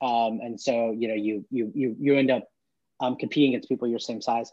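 At a moderate pace, a man speaks with a General American accent. It is an ordinary speaking voice. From US West Coast, mainly Portland, Oregon. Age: 40s. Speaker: tech startup founder. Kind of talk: interview.

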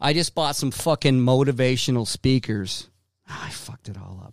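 A man with an American accent at a medium pitch, moderate pace and ordinary pitch variation, on a very clean recording with a silent background. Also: dry, close sound with no echo. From Boston. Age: 40s. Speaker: podcast host. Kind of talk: casual monologue. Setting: home studio.

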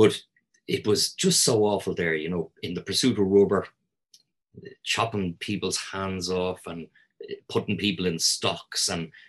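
A man's fairly slow speech with fairly even intonation and long, frequent pauses. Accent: Dublin. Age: 50s. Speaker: historian and tour guide. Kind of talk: casual chat.

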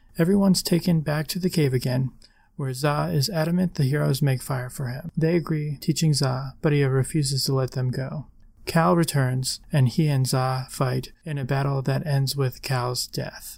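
A man's somewhat breathy voice at a fairly high pitch, with ordinary pitch variation and a moderate pace. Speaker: podcast host, Doctor Who newcomer. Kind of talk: casual podcast discussion.

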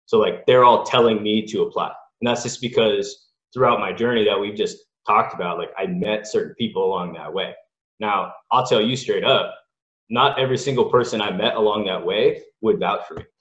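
At a fairly quick pace, a man speaks with a Californian accent. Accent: General American (Californian). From Southern California, Los Angeles. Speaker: college sports scientist. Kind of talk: casual interview.

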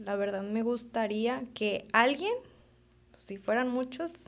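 A woman with a normal speaking voice and a fairly high pitch talks at a moderate pace. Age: 20s. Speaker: veterinarian and young rancher. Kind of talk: casual chat.

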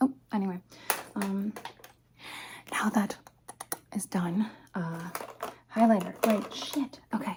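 Long, frequent pauses break up this fairly slow delivery. Behind it, background noise is noticeable. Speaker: ASMR creator. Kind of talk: ASMR roleplay. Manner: animated.

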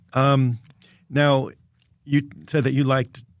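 Just a man, captured in a very clean recording against a silent background. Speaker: radio host. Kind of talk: interview. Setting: studio.

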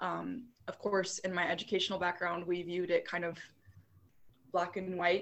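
A woman with an unremarkable speaking voice talks at a fairly quick pace in a medium pitch. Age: 20s. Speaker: yoga teacher. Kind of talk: casual chat; guided meditation.

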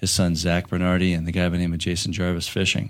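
This man, with an American accent and a very deep, low pitch, talks at a fairly quick pace on a very clean recording with a silent background. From southwestern Pennsylvania. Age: 30s. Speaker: insurance agent. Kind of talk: casual interview.

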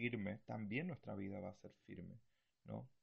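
A man speaks at a fairly low pitch. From Argentina. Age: 20s. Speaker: missionary and podcast host. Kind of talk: bible teaching talk. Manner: hesitant, many fillers.

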